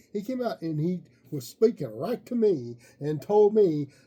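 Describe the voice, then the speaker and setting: A man's dark, mellow tone moves through very wide pitch swings. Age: 60s. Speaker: wrestling podcast co-host. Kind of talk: casual chat.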